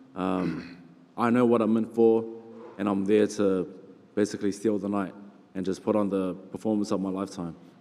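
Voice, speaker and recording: With a New Zealand accent, the voice has a dark, mellow tone and a monotone, flat intonation. It keeps a moderate pace, with long, frequent pauses. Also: man, fairly low pitch for a man. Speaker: heavyweight boxer. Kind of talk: press conference interview.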